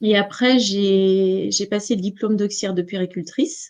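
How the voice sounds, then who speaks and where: Pitched fairly high, this woman's voice shows ordinary pitch variation. She speaks at a moderate pace. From western France, Nantes region. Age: 40s. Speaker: entrepreneur, numerologist. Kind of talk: interview. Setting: live stream. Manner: hesitant, many fillers.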